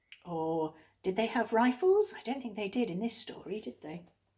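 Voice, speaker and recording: Somewhat breathy, fairly high woman's voice with lively intonation at a fairly slow pace. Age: old. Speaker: teacher. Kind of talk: tutorial.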